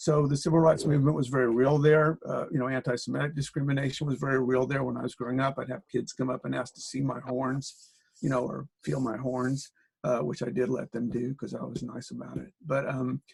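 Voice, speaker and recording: A man speaks quickly-ish, at a fairly quick pace, with an American accent. His medium-pitched voice keeps a fairly even intonation. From US Midwest, Springfield, Illinois. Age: 60s. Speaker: political organizer and researcher. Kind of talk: interview. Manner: halting, many fillers.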